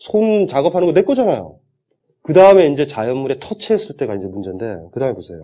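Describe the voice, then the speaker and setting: Very fast and pitched fairly high, a man's voice leaps through very wide pitch swings and big swings in loudness. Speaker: philosophy lecturer. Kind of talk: lecture. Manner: animated.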